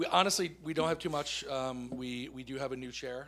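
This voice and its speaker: A man speaks fairly quickly at medium pitch in a bright, sharp tone, with audible room echo. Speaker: school board member. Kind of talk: meeting report. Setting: town council meeting. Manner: loud.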